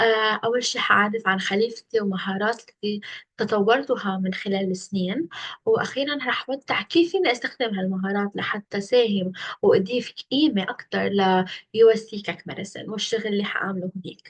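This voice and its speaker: This woman speaks at a moderate pace with a medium pitch, ordinary pitch variation and a somewhat breathy quality. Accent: Lebanese. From Lebanon. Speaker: internship applicant. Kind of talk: video self-presentation for job interview. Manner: hesitant with fillers.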